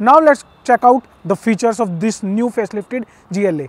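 A man speaks at a moderate pace. The sound is dry with no echo. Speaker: car reviewer. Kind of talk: product review presentation. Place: street.

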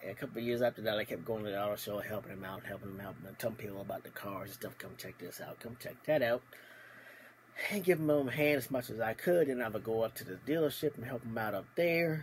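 Over light background noise, a man speaks at a very fast pace with lively intonation and big swings in loudness. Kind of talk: casual vlog storytelling. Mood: cheerful, amused. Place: home room. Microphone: phone near.

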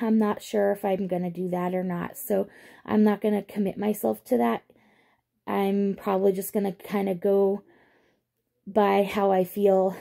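A woman's dark, mellow voice at a fairly slow pace against a quiet background. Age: 30s. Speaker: vlogger; pregnant mother vlogger. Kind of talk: casual vlog monologue. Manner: hesitant, many fillers. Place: home room. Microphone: phone near.

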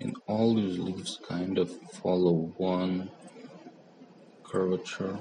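Amid noticeable background noise, a man mumbles. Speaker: 3D artist. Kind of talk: software tutorial narration. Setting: mobile phone recording. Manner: mumbling. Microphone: phone near.

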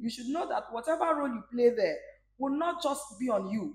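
A woman talks fairly quickly, her voice carrying audible room echo. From Nigeria, Rivers State (Port Harcourt); Rivers State, Nigeria. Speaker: singer; interview guest. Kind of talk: interview. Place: bar. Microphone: lapel.

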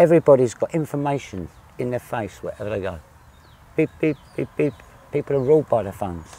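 With lively intonation, a man talks at a very fast pace yet leaves long, frequent pauses, in a dry sound with no echo. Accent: southern English. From southern England. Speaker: visiting Englishman interviewed; interviewee. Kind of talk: interview. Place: garden. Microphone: lapel.

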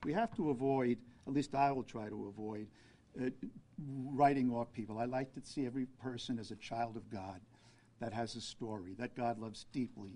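A man with a New York accent, medium pitch, a dark, mellow tone and ordinary pitch variation. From Brooklyn, New York City; New York City. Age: 70s. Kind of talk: press conference. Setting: press conference with media. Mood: calm, earnest. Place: hall. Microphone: podium.

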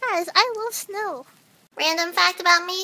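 Raising and projecting her voice, a woman speaks at an extremely high pitch and a moderate pace. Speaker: short-video comedian. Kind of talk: casual vlog chat. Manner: playful, comedic. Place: home room. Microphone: phone near.

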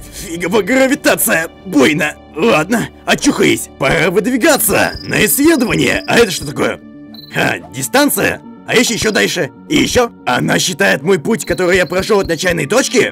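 Doing a cartoonish character voice, a man talks at a moderate pace and high pitch while clear music plays in the background. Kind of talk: cartoon dub acting. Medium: fan dub. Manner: curious, excited, thinking aloud.

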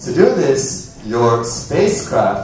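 A man talks over light background noise in a room with strong echo. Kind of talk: performed science talk. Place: stage.

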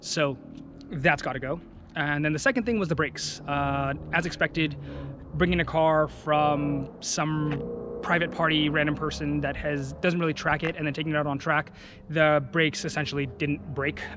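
There is noticeable background noise, though the sound is dry with no echo. A man talks at a moderate pace. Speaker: car enthusiast vlogger. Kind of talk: casual vlog chat. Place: open country. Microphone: phone near.

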